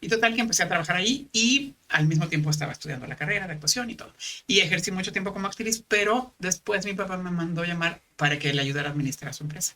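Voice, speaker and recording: With a fairly low pitch and lively intonation, a woman talks at a very fast pace with hardly any pauses. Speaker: former actress and paramedic. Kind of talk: podcast interview.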